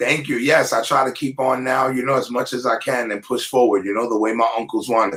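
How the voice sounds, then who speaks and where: Talking fairly quickly with hardly any pauses, a man with a plain, everyday voice keeps a medium pitch and fairly even intonation. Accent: American. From New York, the Bronx. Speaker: rapper. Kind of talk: interview.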